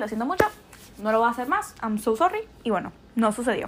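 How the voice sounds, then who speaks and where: A woman with an animated tone and lively intonation. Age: young. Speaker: podcast host. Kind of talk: casual monologue.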